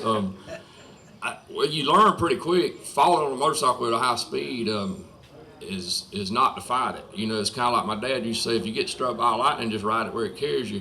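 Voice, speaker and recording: A man with a Southern US accent at a fairly quick pace, lively intonation, over noticeable background noise. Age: 60s. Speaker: retired motorcycle racer. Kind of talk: casual interview chat.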